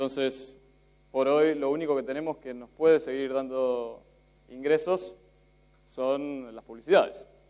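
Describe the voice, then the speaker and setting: At a fairly slow pace, a man with an Argentine accent talks in a fairly high pitch. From Spain. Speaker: journalist. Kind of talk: conference talk. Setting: stage with audience.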